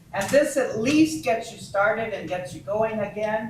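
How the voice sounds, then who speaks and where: A woman talks with lively intonation, with noticeable background noise and audible room echo. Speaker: society member. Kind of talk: meeting discussion. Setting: community hall meeting. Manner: loud.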